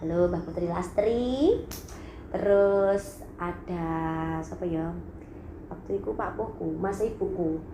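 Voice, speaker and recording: A woman speaks with an East Javanese accent. Some room echo can be heard. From Blitar, East Java, Indonesia. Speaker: singer and YouTuber. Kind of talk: casual vlog storytelling. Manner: animated.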